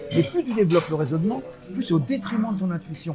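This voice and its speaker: Music in the background behind a high-pitched man, fairly quick pace and lively intonation. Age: 70s. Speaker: hypnotist. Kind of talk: interview.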